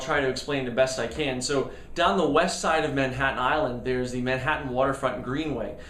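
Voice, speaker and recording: A man with a fairly high pitch talks at a moderate pace, with audible room echo and noticeable background noise. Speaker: amateur triathlete vlogger. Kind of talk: casual video diary. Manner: hesitant, many fillers.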